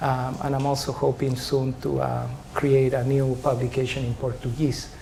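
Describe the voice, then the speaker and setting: A man talks in a Spanish accent. Room echo can be heard. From Chile. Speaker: professor. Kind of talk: lecture. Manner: hesitant, many filler sounds.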